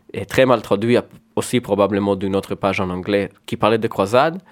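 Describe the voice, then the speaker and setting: A man's fairly low voice with a Hebrew accent and fairly even intonation. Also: very clean recording, silent background. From Israel. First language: Hebrew (speaking French). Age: 20s. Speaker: painter and comic artist. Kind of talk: radio interview. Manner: halting.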